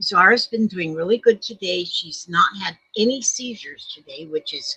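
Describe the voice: A woman speaks at a fairly slow pace with ordinary pitch variation. Her tone is bright and sharp with a husky, rough edge, and the sound is dry and close with no echo.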